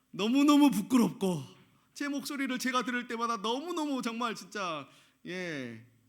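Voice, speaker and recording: Audible room echo carries a man's lively intonation as he talks at a moderate pace. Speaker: pastor. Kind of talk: sermon. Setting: church.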